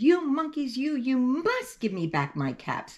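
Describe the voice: A woman in a put-on character voice, high-pitched with big pitch swings, a slightly mellow tone and a fairly slow pace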